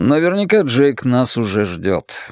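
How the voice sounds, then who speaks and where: In a put-on character voice, a man at a medium pitch swings very widely up and down at a fairly slow pace, recorded very cleanly against a silent background. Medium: read story. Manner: terse, reserved.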